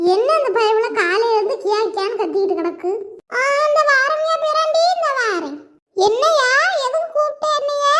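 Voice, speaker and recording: The speaker uses a cartoonish character voice. An echo is audible. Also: woman, extremely high pitch for a woman, moderate pace. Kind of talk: comic rural dialect. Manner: loud.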